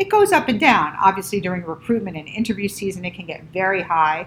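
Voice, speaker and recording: Over noticeable background noise, a woman with an American accent speaks very fast. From US Northeast, Rockland County, New York. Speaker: vascular surgeon and professor. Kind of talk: interview.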